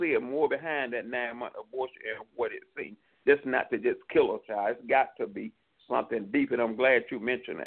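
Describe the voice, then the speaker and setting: Speaking with an American accent, a man moves at a fairly quick pace with big swings in loudness. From New York City. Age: 50s. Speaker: conservative political commentator. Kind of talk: interview, political commentary. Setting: remote guest on online radio.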